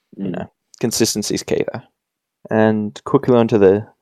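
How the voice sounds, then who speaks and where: A man with an Australian accent, fairly low-pitched, dark and mellow in tone, at a moderate pace, with dry, close sound and no echo. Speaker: podcast host. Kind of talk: casual chat.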